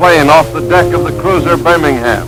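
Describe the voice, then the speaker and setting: Music plays behind a man whose fairly high voice has lively intonation at a moderate pace. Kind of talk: documentary narration.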